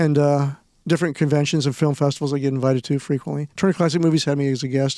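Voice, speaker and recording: In a very clean recording with a silent background, a man with an American accent speaks at a very fast pace, his fairly high-pitched voice dark and mellow, with very even loudness and fairly even intonation. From Nebraska. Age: 60s. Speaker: film historian and event producer. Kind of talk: interview.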